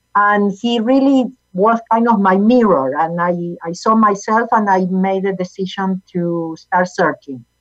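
A woman's medium-pitched voice in a Spanish accent, fairly slow, with hardly any pauses, ordinary pitch variation, and music in the background. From Argentina. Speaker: motivational speaker and author, former accountant. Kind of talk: interview, personal story and teaching.

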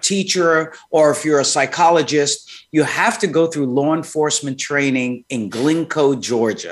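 This man has a New York accent. His pitch is fairly high. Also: quiet background. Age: 60s. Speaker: psychologist. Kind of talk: interview.

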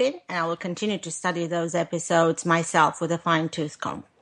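Amid noticeable background noise, a woman with a fairly low pitch speaks at a fairly quick pace. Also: hardly any pauses. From Romania. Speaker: podcast host and business advisor. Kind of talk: interview. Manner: hesitant, many fillers.

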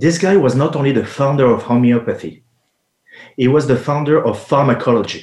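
Speaking with a French accent, a man talks at a fairly quick pace with a fairly high pitch and ordinary pitch variation. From France. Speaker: homeopathic pharmacist. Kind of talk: interview. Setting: live radio show, remote.

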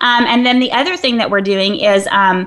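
Here a woman speaks in a plain, everyday voice at medium pitch and a moderate pace. Her pitch variation is ordinary. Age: 40s. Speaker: fitness trainer and health writer. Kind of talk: casual chat. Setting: studio.

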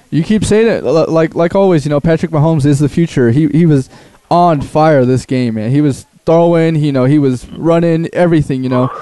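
With noticeable background noise behind him, a man speaks at a fairly quick pace in a fairly high voice, with ordinary pitch variation and very even loudness. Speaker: producer and sports talk co-guest. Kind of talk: casual sports chat. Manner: casual, filler-heavy.

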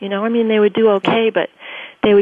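Someone speaks with an American accent against noticeable background noise. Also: woman. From grew up in Tokyo, US Air Force family. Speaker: education entrepreneur and author. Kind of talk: radio interview.

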